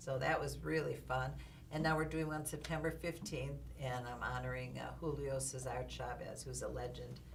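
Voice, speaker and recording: At a moderate pace, a woman talks with audible room echo around her voice. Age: 70s. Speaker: boxing manager and author. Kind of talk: interview. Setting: recording studio.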